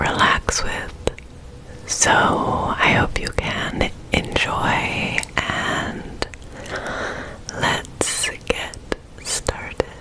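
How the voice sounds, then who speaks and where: A woman whispers at a very slow pace with long, frequent pauses. Noticeable background noise can be heard. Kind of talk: ASMR personal attention. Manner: soft-spoken, soothing.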